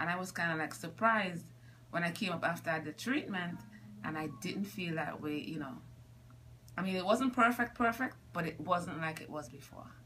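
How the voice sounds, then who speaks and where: The speech moves at a moderate pace with lively intonation. Light background noise can be heard. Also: woman, fairly low pitch for a woman. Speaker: scoliosis patient. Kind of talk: patient testimonial interview. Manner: casual, conversational. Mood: grateful, relieved. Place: office. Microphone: phone near.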